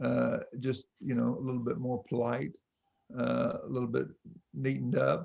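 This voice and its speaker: Here a man speaks with a North Carolina accent. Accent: Southern US, North Carolina. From North Carolina, Stokes County. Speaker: pastor and author. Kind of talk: interview conversation.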